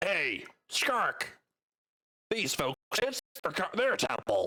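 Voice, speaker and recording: A man speaks very slowly in a raspy, put-on character voice. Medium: actual play. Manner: halting, broken common.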